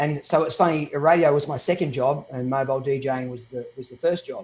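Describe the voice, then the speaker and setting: A man with an Australian accent talks at a fairly quick pace, fairly high in pitch with fairly even intonation, amid noticeable background noise. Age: 50s. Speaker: DJ. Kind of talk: interview.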